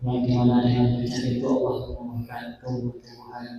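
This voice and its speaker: Audible room echo around a man's medium-pitched voice, delivered at a moderate pace. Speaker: Islamic preacher. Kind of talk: sermon. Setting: mosque. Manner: soft-spoken. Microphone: too quiet at first.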